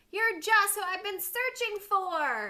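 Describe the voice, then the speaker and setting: A squeaky, put-on character voice speaks at a fairly slow pace. Its pitch varies in an ordinary way. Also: woman, extremely high pitch for a woman. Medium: read story.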